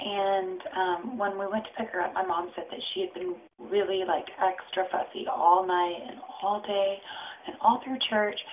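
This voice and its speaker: A soft-spoken woman talks at a fairly slow pace with ordinary pitch variation. Noticeable background noise runs behind her. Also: medium pitch for a woman. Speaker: vlogger and mother. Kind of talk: casual vlog. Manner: quiet, soft-spoken. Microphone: too quiet.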